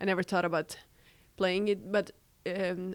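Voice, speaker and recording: A woman's medium-pitched voice with a Serbian accent, at a moderate pace. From Serbia, Belgrade. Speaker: college student and tennis player. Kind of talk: casual interview.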